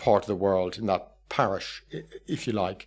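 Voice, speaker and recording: On a very clean recording with a silent background, a man with an Irish accent talks at a moderate pace. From Ireland. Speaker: professor of political thought. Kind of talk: interview.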